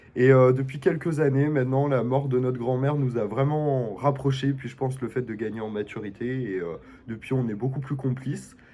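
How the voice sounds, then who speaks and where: With audible room echo, a man speaks in a dark, mellow tone at a medium pitch. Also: fairly even intonation, moderate pace. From Belgium. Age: 20s. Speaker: student, reality show applicant. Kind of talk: casual self-presentation video.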